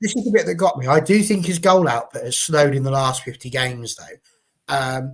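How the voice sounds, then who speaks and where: A man speaks at a fairly quick pace with an English accent. His fairly high pitch moves in very wide swings. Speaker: football fan show host. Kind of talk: live panel discussion.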